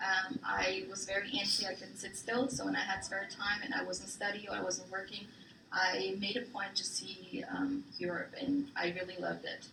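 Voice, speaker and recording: Noticeable background noise accompanies this woman. Her speech carries audible room echo. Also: moderate pace. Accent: German. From Germany, Frankfurt (early childhood in Thailand). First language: German. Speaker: military spouse, guest presenter. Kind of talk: class presentation. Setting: classroom with students.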